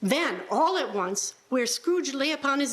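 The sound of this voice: A woman speaks at a high pitch with lively intonation. Her pace is fairly slow.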